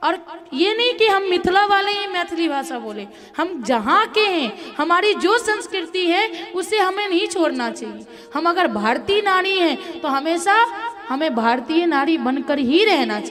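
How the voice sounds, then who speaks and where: Against noticeable background noise, a woman speaks at an extremely high pitch with very wide pitch swings. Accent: Bihar. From Mithila region, Bihar. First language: Maithili (speaking Hindi). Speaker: religious storyteller. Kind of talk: religious discourse.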